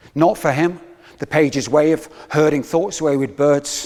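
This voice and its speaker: He has an unremarkable speaking voice, fairly high for a man. His pace is moderate. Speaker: poet. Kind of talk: spoken word poetry performance.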